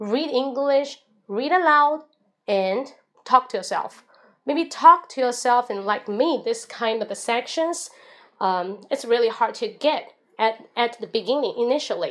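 A woman's high-pitched voice with a Chinese accent and lively intonation, on a very clean recording with a silent background. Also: fairly slow pace. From China. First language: Mandarin Chinese. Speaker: English teacher and livestreamer. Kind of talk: livestream monologue. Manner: casual.

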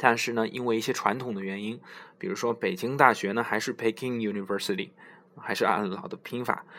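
A man's bright, sharp tone at a fairly quick pace, with ordinary pitch variation. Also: medium pitch for a man. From China. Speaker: English learning podcast host. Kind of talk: tutorial. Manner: halting, many filler sounds.

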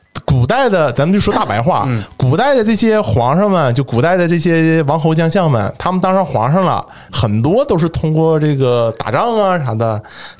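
A man with a fairly high pitch and very wide pitch swings speaks at a moderate pace with very even loudness and hardly any pauses over noticeable background noise. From Northeast China. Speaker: religious studies PhD student. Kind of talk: casual chat.

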